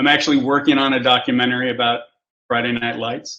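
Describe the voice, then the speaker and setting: Using an ordinary speaking voice, a man with an American accent talks at a fairly quick pace with ordinary pitch variation. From US Midwest, western Kansas. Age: 60s. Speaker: photographer. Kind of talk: casual chat.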